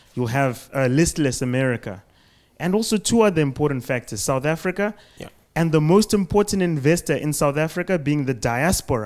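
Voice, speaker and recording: A man with a fairly high voice talks at a fairly quick pace with lively intonation and an unremarkable speaking voice against a quiet background. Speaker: audience member. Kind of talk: audience question. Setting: stage with audience. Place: hall.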